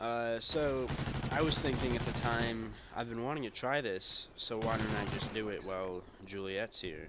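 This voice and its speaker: A man of fairly low pitch at a moderate pace, with ordinary pitch variation and audible room echo. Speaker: gaming YouTuber telling a story. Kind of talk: casual storytelling commentary. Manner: rambling, stumbling over words.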